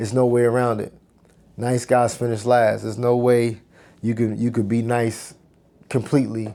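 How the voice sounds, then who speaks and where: A man speaks at a medium pitch in a dark, mellow tone. The recording is very clean, with a silent background. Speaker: book reading channel host. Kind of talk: casual commentary. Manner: stumbles over words, sometimes mumbles.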